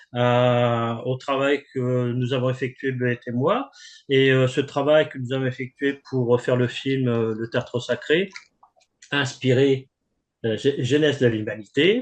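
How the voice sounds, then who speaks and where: Speaking very slowly, a man holds a medium pitch and fairly even intonation. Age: 60s. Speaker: composer and author. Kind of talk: interview. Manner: halting.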